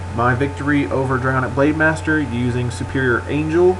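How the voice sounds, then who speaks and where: A man speaks at a fairly quick pace with lively intonation, with audible room echo and noticeable background noise. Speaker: gaming commentator. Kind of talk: gameplay commentary. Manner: stuttering a little; casual.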